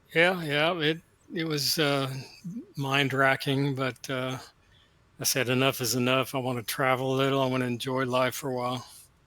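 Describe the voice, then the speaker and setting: Bright and sharp in tone, a man with an American accent talks at a moderate pace and medium pitch, his intonation fairly even. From Texas. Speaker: retired procurement contractor. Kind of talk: casual chat.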